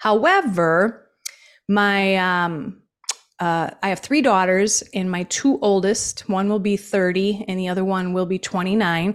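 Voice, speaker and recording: An ordinary speaking voice from a woman at medium pitch and a moderate pace. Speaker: small business founder and business acquisition advisor. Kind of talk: interview. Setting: video call.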